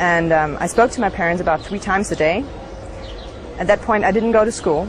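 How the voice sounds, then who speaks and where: A woman's medium-pitched voice with a German accent, fairly quick pace and ordinary pitch variation, over noticeable background noise. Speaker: former Scientology member. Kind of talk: interview testimony. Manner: halting.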